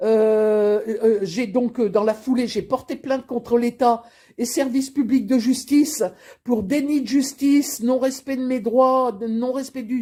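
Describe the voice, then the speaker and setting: At a very slow pace, a woman with a high pitch and a dark, mellow tone talks with ordinary pitch variation over a very clean recording and a silent background. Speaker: grandmother giving testimony. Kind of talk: personal testimony to camera.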